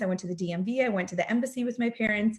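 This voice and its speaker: A somewhat breathy woman talks at a fairly quick pace with fairly even intonation. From Russia, moved to US at eight. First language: Russian. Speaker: direct sales director, counselor. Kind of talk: motivational talk. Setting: video call. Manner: casual, with frequent fillers.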